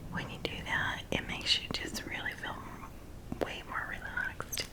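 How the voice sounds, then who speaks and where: There is noticeable background noise throughout. Beneath it, a woman whispers. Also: moderate pace. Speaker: ASMR content creator. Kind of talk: casual talk to camera. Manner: soft, relaxing.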